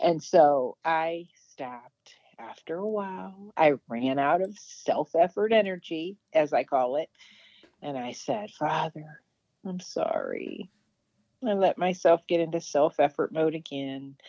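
Recorded with a dry, close sound and no echo, a woman speaks at a fairly slow pace in a fairly low pitch, with a dark, mellow tone, lively intonation and big swings in loudness. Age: 50s. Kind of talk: testimony.

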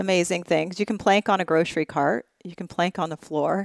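An ordinary speaking voice moves at a fairly quick pace, recorded very cleanly against a silent background with a dry, close sound and no echo. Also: woman. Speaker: podcast host. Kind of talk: interview conversation.

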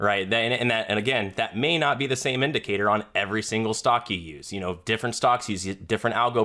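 A man with an American accent has a medium pitch and a bright, sharp tone. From US South, Florida. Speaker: trader. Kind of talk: casual chat.

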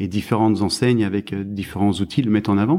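Fairly low in pitch with a dark, mellow tone, a man speaks at a fairly quick pace with ordinary pitch variation in a very clean recording with a silent background. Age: 40s. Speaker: fruit and vegetable trade specialist. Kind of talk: interview. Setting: at his home. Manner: halting, many repetitions.

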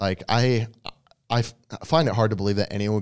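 A man with a plain, everyday voice, an American accent and fairly even intonation, on a very clean recording with a silent background. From New England (outside Boston), then West Virginia. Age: 30s. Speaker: fitness influencer and bodybuilder. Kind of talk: casual chat.

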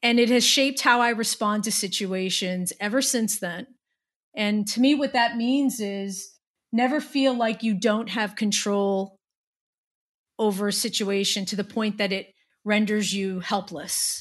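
A woman with a normal speaking voice and an American accent, fairly high in pitch with fairly even intonation, at a fairly slow pace over a quiet background. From New Jersey. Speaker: corporate tax director. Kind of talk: interview.

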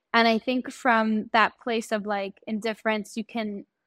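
With a New York accent, a woman speaks at a fairly high pitch and moderate pace in a dry, close sound with no echo on a very clean recording with a silent background. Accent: New York American. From New York, Long Island. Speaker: teacher and podcaster. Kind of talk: casual interview chat.

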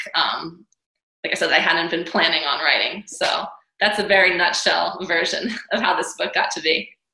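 A woman speaks at a moderate pace in an American accent. The room echo is audible. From New York City. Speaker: author and dancer. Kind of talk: interview.

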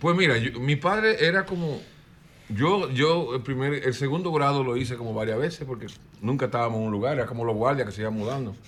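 Speaking at a fairly quick pace with lively intonation, a man is heard with audible room echo. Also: medium pitch for a man. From Dominican Republic, El Cedro de Miches. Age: 60s. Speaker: singer-songwriter. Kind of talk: interview.

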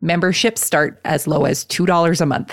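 At a moderate pace, a woman with a Canadian accent speaks in a very deep, low pitch with fairly even intonation. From Canada. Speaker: podcast host. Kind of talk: casual interview; scripted ad read.

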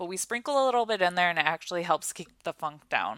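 A woman's fairly low, unremarkable speaking voice with lively intonation, in a very clean, dry, close recording with no echo and a silent background. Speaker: podcast co-host. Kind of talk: sales pitch. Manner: excitable.

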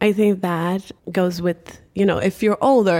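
Speaking at a moderate pace, a woman uses a fairly low pitch with vocal fry and ordinary pitch variation. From Cape Verde. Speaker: retail general manager. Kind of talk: interview, conversational podcast. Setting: in person, recorded in Boston.

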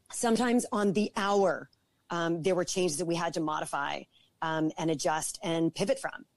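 A woman with a Canadian accent talks at a moderate pace, in a plain, everyday voice. Her pitch is fairly low, her intonation lively, and the sound is dry and close with no echo. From Toronto, Canada. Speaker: entrepreneur. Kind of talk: interview.

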